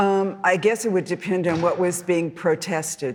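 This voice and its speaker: Against noticeable background noise, a woman with an American accent speaks at a moderate pace and fairly low pitch with fairly even intonation. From US West Coast, Los Angeles. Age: 70s. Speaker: artist. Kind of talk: audience Q&A. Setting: lecture hall with audience. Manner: halting.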